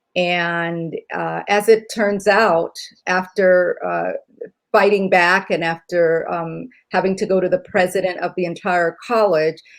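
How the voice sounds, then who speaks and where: Speaking very slowly, a woman keeps a medium pitch and a monotone, flat intonation. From Puerto Rico, then Virginia from about age eight. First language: Spanish. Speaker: nurse and lawyer. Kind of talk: interview. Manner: hesitant, many fillers.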